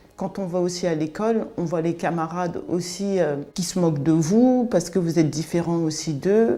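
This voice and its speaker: Noticeable background noise sits behind a woman with a fairly low pitch. She talks at a fairly slow pace with ordinary pitch variation. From France (raised from age 5, born in Cameroon). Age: 40s. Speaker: interviewee sharing life story. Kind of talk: testimony interview. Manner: hesitant, many fillers.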